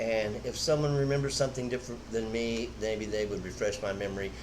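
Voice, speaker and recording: A man with an American accent speaks very fast at a fairly low pitch, with ordinary pitch variation and audible room echo. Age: 60s. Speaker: veteran street racer. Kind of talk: casual chat.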